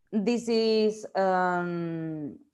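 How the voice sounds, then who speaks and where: Against a quiet background, the speaker talks in a Spanish accent with ordinary pitch variation. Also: woman. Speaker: researcher and professor. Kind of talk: lecture. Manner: halting, many fillers.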